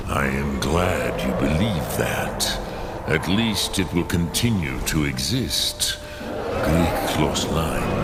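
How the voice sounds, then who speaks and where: Putting on a character voice, a man speaks very slowly at a very deep, low pitch over loud background noise. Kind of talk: epic fantasy solemn speech. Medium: game stream. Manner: slow, grave, measured, with words in dragon tongue.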